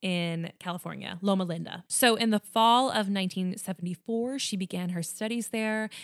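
Recorded very cleanly with a silent background and a dry, close sound with no echo, a woman with a Long Island accent speaks at a medium pitch. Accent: Long Island New York. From Long Island, New York. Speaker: true crime podcast host. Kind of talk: storytelling true crime narration with casual chat.

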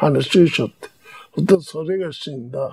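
With a Hiroshima accent, a man talks at a fairly high pitch with ordinary pitch variation in a dry, close sound with no echo. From Japan, Hiroshima. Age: 90s. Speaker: war veteran. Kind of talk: testimony.

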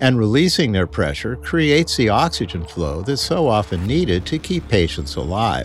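Music plays in the background. The speech moves at a moderate pace with very wide pitch swings. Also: man. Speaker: doctor giving medical commentary. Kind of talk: explanatory medical commentary.

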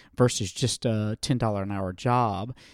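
In a Southern US accent, a man speaks with ordinary pitch variation in a dry, close sound with no echo. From US South. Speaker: nonprofit founder working with homeless youth. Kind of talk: interview.

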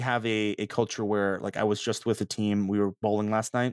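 A man with an American accent has an unremarkable speaking voice and fairly low pitch. The sound is dry and close, with no echo. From US South, Mississippi (Meridian). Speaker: startup co-founder. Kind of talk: casual interview chat. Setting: office.

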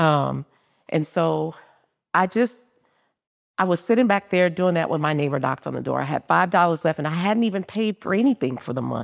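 A woman with vocal fry talks at a fairly low pitch and fairly quick pace, with a dry, close sound with no echo, on a very clean recording with a silent background. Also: lively intonation. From New Orleans, Louisiana. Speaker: business founder. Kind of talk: live interview. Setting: stage with live audience.

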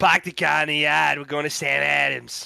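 A man puts on a raspy character voice with a Boston accent. He talks at a moderate pace. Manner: thick, exaggerated.

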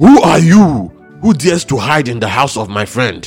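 Faint music plays in the background as a man uses a put-on character voice at a medium pitch and moderate pace. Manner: menacing, bellowing.

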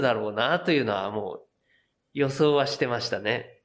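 Very clean audio of a man speaking, the background completely silent. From Japan, Yokohama. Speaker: craft beer brewer. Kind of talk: interview. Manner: relaxed, with many fillers.

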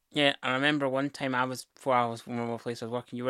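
At a very fast pace, a man with a Scottish accent speaks at a medium pitch in a flat monotone with a bright, sharp tone. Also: dry, close sound with no echo. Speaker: partner of host, guest. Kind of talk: casual conversation.

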